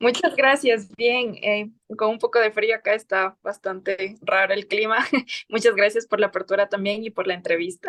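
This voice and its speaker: This woman has an ordinary speaking voice, fairly high in pitch and fairly even in intonation. She talks at a moderate pace in a dry, close sound with no echo. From southern Ecuador, Loja. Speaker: lawyer and writer. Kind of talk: interview.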